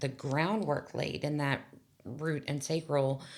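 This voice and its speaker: A woman speaks with a very deep, low pitch and fairly even intonation. The recording is very clean, with a silent background. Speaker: hospice worker. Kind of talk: casual chat. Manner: loud.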